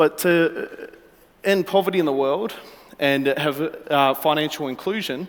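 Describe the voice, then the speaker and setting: A man talks with an Australian accent. His pitch is fairly high, with ordinary pitch variation. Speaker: startup founder pitching. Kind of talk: startup pitch. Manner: halting, many fillers.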